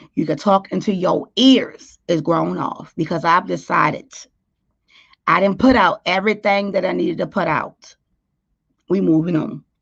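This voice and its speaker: A woman's fairly low, animated voice with vocal fry, a moderate pace, ordinary pitch variation and long, frequent pauses. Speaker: YouTube talk show host. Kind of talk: casual livestream chat.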